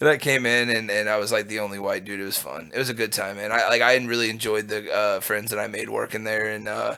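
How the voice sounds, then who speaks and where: A man rattles along at a very fast pace with hardly any pauses and a monotone, flat intonation. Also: fairly low pitch for a man. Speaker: cannabis dispensary worker. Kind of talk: casual chat.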